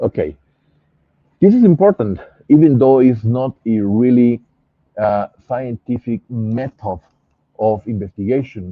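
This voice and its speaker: Spoken in a Spanish accent at a fairly slow pace, the voice has lively intonation and long, frequent pauses. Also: man, medium pitch for a man. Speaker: pathologist, scientific investigator. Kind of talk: interview. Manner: halting, many fillers.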